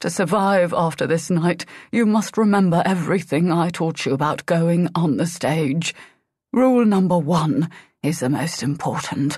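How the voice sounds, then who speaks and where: Using a put-on character voice, a woman speaks hoarsely at a moderate pace, with a fairly low pitch and ordinary pitch variation. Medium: read story.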